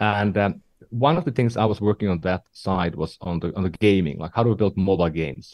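The speech comes at a fairly quick pace in a Finnish accent, with ordinary pitch variation. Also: man, fairly low pitch for a man. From northern Finland. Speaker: tech entrepreneur and investor. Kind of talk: podcast interview.

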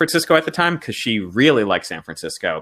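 A man with an American accent and a bright, sharp tone speaks with very wide pitch swings. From South Florida. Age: 30s. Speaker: comedy writer. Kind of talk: casual interview chat.

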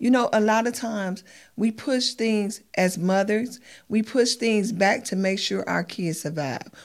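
A woman with an American accent and an ordinary speaking voice talks fairly slowly at a fairly high pitch. Her pitch varies in an ordinary way, and the recording is very clean with a silent background. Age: 50s. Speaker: mother of a pro football player. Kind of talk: casual chat.

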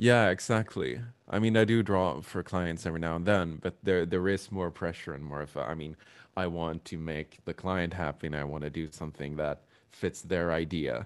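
A man with a Swedish accent, very deep and low in pitch, at a moderate pace with ordinary pitch variation. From Sweden. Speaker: drummer and graphic designer. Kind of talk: casual interview. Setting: video call.

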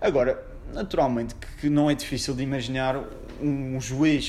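A man's fairly high voice with audible room echo. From Portugal, Madeira (Funchal). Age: 20s. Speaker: lawyer. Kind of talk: casual interview.

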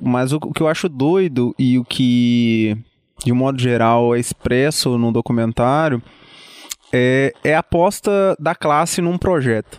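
A man talks fairly slowly, medium in pitch, with ordinary pitch variation. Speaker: podcast co-host. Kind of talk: casual political discussion. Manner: halting, many repetitions.

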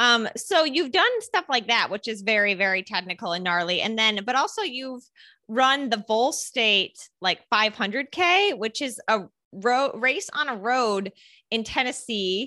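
With an American accent, a woman talks in a bright, sharp tone with lively intonation. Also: fairly high pitch for a woman, fairly slow pace. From upstate New York. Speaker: podcast host. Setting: video call.

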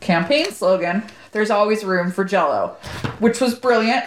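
A woman with an American accent speaks at a fairly high pitch with ordinary pitch variation, over noticeable background noise. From Southern California (Corona). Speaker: podcast co-host. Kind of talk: casual chat.

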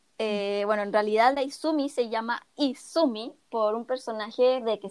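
Someone speaks in a Chilean accent at a moderate pace. Pitch variation is ordinary. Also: woman. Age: 20s. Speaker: podcast co-host, illustrator. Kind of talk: casual chat.

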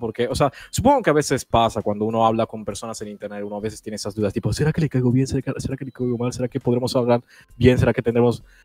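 The man's fairly even intonation comes across in a dry, close sound with no echo. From Italy. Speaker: YouTuber. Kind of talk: casual chat.

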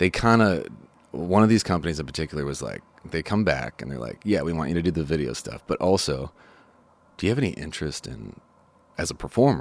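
A man with an American accent speaks at a very fast pace in a very deep, low voice, with lively intonation, vocal fry, big swings in loudness, and long, frequent pauses. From Chicago, US Midwest. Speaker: songwriter. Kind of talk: casual chat. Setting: studio.

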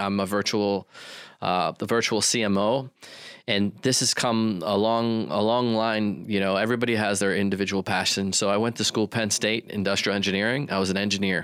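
A man talks in an ordinary speaking voice, fairly low in pitch and fairly even in intonation, at a fairly quick pace. The recording is very clean, with a silent background. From western US. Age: 40s. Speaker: marketing agency owner. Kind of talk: interview.

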